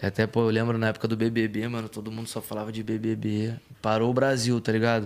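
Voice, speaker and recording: On a very clean recording with a silent background, a man talks at a fairly quick pace in a monotone, flat delivery at medium pitch. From Rio de Janeiro, Brazil. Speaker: rap singer. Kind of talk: casual interview chat.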